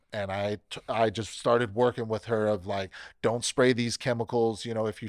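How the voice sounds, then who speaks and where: A man with an American accent and an unremarkable speaking voice, fairly low in pitch, at a moderate pace, in a dry, close sound with no echo. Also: very clean recording, silent background. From US West Coast, Bakersfield, California. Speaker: pest control technician. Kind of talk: casual interview.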